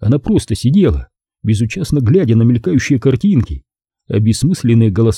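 The background stays quiet while the text is read aloud in a natural voice.

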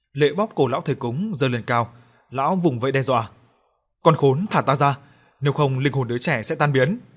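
A quiet background behind plain reading aloud

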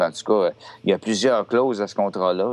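A man with a Quebec accent speaks in fairly even intonation. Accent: Québécois French. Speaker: metal podcast co-host. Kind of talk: casual chat.

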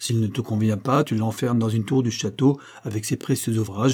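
Reading aloud in a natural voice, with intonation kept fairly level

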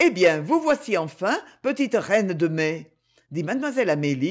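Against a quiet backdrop, the speech is plain reading aloud.

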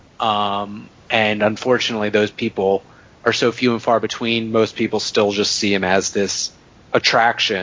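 The man's intonation stays monotone and flat. He speaks at a moderate pace. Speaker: podcast co-host. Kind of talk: casual chat.

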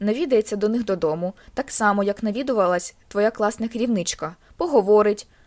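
It is an unforced reading voice with ordinary pitch variation.

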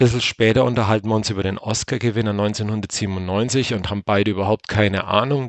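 A man with a normal speaking voice and fairly low pitch is heard in a dry, close sound with no echo. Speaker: podcast host. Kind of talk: solo casual monologue. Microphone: testing a new simple headset setup.

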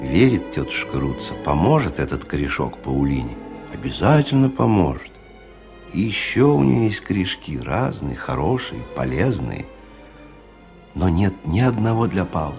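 A man puts on a character voice with a low pitch, vocal fry and a slightly mellow tone. He talks at a moderate pace with big pitch swings over faint music in the background.

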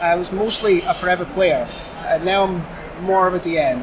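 A high-pitched man with a Shetland accent is heard with audible room echo and noticeable background noise. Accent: Scottish (Shetland). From Shetland, Scotland. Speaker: convention volunteer. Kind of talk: casual chat. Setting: convention venue.

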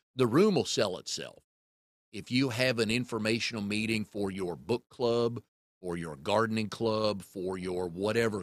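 An unremarkable speaking voice from a man, fairly low-pitched and fairly slow, with ordinary pitch variation. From US South, North Carolina (Raleigh). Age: 60s. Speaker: podcast host. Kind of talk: casual chat.

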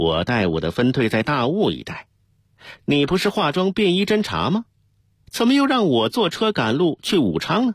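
On a very clean recording with a silent background, a man does a put-on character voice with a fairly high pitch, very wide pitch swings and a slightly husky edge, at a moderate pace.

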